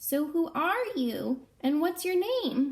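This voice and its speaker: A woman's squeaky, high-pitched put-on character voice at a very slow pace. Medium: read story. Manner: firm, no-nonsense.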